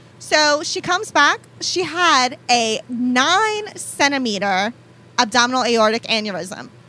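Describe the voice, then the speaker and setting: A woman's high-pitched voice is raised and projected, moving through very wide pitch swings. She speaks at a fairly slow pace. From New Orleans area, Louisiana (West Bank, Belle Chasse). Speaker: nurse practitioner. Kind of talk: casual chat.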